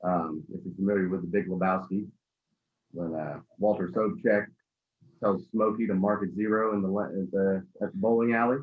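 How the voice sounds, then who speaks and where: A man talks at a fairly quick pace in a fairly low pitch. He has a plain, everyday voice. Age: 30s. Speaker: cigar company co-founder. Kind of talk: casual interview. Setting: video call.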